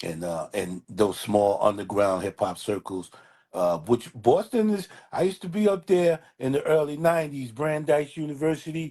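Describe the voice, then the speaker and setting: A man's fairly high, dark and mellow voice in a New York accent, with very wide pitch swings, a moderate pace and a quiet background. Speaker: hip hop DJ and artist. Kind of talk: casual interview chat.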